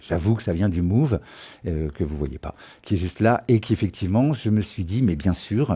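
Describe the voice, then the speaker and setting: Here a man speaks in a dark, mellow tone that is somewhat breathy. His intonation is lively. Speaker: music production trainer. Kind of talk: live-streamed tutorial. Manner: fast; hesitant, many fillers.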